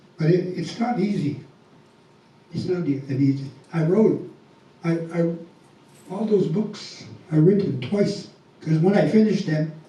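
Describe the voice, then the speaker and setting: With noticeable background noise and audible room echo, a man speaks fairly slowly in a high pitch with ordinary pitch variation. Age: 70s. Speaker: congregation member. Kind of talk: personal testimony. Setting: temple Sunday program. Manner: halting.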